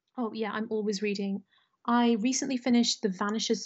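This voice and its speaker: With a British accent, a woman speaks at a fairly high pitch. Her intonation stays fairly even. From Britain, of Indian descent. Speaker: fantasy author. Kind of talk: casual interview chat.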